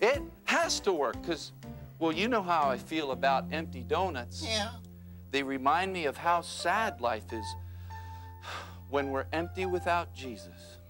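Clear music plays in the background. The speech moves at a fairly slow pace with long, frequent pauses. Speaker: children's show host. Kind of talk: scripted kids' TV dialogue. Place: studio. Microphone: lapel.

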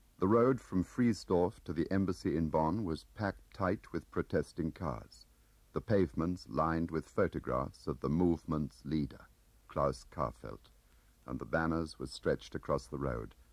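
With lively intonation and a moderate pace, a man talks in a very deep, low voice with vocal fry, the sound dry with no echo. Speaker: author reading his novel. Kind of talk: audiobook narration of a spy novel. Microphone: old recording.

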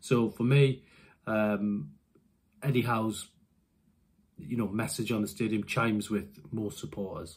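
A man speaks slowly at fairly low pitch, with fairly even intonation. Long pauses come often.

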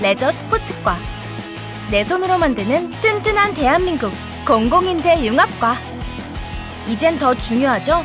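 Over music in the background, an upbeat voice moves at a fairly slow pace with very wide pitch swings. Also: woman. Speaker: voice actor. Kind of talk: university promotional video narration. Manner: upbeat, bright.

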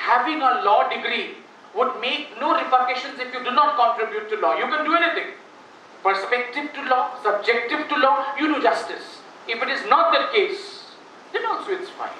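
A man speaks in a raised, projected voice at an extremely high pitch, with very wide pitch swings, a fairly quick pace, audible room echo and light background noise. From Assam, India. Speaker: motivational speaker. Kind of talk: motivational talk to students. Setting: auditorium with student audience. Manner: animated. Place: hall. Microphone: podium.

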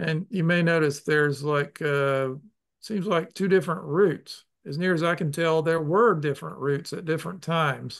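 A man speaks in a normal speaking voice with a fairly high pitch, a moderate pace and ordinary pitch variation over a quiet background. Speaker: river conservation advocate and webinar host; webinar host. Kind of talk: webinar hosting. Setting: video call. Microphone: video call.

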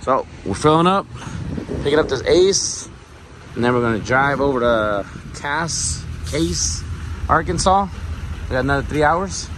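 Noticeable background noise sits under speech that moves at a fairly slow pace with long, frequent pauses. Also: man, dry sound with no echo. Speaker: vlogger on a road trip. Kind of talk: casual vlog chat. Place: street. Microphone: phone near.

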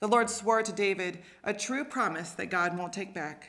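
A woman talks at a moderate pace with ordinary pitch variation, the background quiet. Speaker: pastor. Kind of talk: scripture reading then sermon. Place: church. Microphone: podium.

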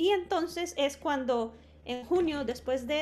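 A woman talks at a fairly slow pace. Her pitch variation is ordinary. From Colombia. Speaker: community climate program facilitator. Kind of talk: workshop presentation. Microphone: video call.

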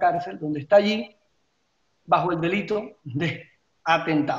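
There is audible room echo as a man speaks with ordinary pitch variation. The background is quiet. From Cuba. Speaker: panelist on political persecution; panelist. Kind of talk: prepared panel talk. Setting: panel forum. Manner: formal; halting. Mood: serious, denouncing. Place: home room. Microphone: webcam.

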